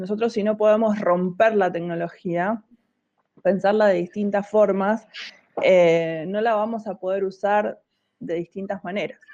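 With a Rioplatense accent, a woman speaks at a fairly slow pace in a medium pitch, her dark, mellow tone carried on fairly even intonation. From Argentina, La Plata. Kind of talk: interview conversation.

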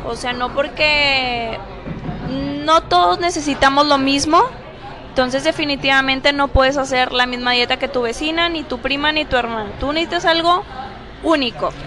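A raised, projected voice carries at a moderate pace with ordinary pitch variation. Crowd noise sits in the background, and there is audible room echo. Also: woman, high pitch for a woman. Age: 20s. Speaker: nutritionist. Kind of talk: casual interview. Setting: café.

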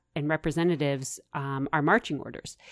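A woman with a Midwestern US accent and ordinary pitch variation, in a very clean recording with a silent background. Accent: General American, Midwestern. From US Midwest, suburbs of Kansas City. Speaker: farm policy advocate. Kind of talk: interview. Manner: halting.

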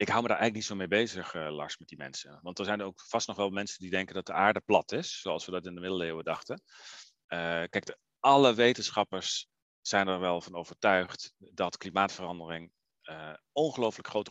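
A man speaks at a fairly low pitch in a bright, sharp tone, with ordinary pitch variation. The sound is dry and close with no echo, over a quiet background. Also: big swings in loudness. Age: 40s. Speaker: environmental organisation director. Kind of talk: interview. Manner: hesitant, many filler sounds.

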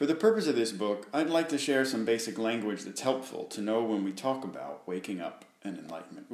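Putting on a robotic character voice, a man talks at a fairly quick pace and medium pitch with lively intonation and hardly any pauses, with a slight echo.

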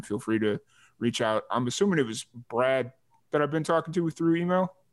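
Fairly quick speech from a man, its pitch varying in an ordinary way. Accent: Chicago. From Chicago area. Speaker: podcast host. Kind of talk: casual interview. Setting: video call.

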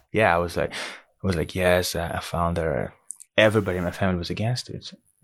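A man speaks at a fairly quick pace with a very deep, low pitch. His intonation is fairly even. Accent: American. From DR Congo. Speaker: singer. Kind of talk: casual chat.

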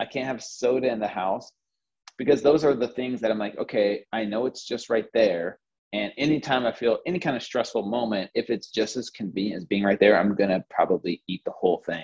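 At a fairly quick pace, a man talks in an unremarkable speaking voice at medium pitch with ordinary pitch variation. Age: 40s. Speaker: fitness trainer. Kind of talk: casual interview.

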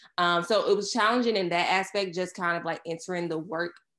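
A woman speaks in an unremarkable speaking voice. The background is quiet. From Surry County, Virginia. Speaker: agency owner. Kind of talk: casual interview chat.

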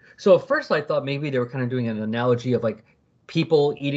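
The voice reads aloud naturally. Its pitch rises and falls with plenty of life.

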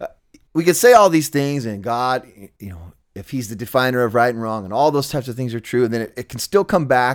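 A man with an American accent and a normal speaking voice talks at a fairly quick pace and medium pitch, with lively intonation and big swings in loudness. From Southern California. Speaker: punk musician and podcaster. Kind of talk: casual conversation.

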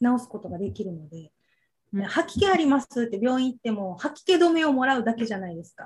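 A woman speaks at a fairly quick pace with a high pitch. Her loudness swings widely. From Okinawa, Japan. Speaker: medicinal cooking instructor. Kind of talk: interview.

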